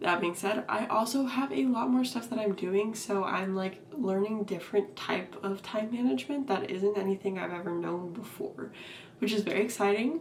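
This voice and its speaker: A woman talks with lively intonation. Noticeable background noise can be heard. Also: medium pitch for a woman, moderate pace. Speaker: vlogger. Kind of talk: casual chat.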